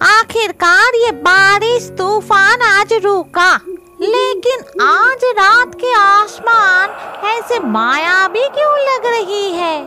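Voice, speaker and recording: A female-sounding cartoonish character voice hits an extremely high pitch. It moves at a very slow pace over clear music in the background. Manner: grumbling, talks to herself.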